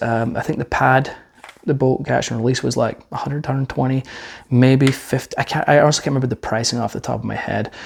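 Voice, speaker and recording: A man talks at a very fast pace and medium pitch. His intonation is monotone and flat. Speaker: firearms reviewer. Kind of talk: product review. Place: studio. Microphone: lapel.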